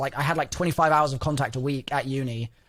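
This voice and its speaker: The speaker is a man. He talks with an English accent. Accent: English accent, noted by host. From England, London. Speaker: gaming content creator. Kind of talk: interview.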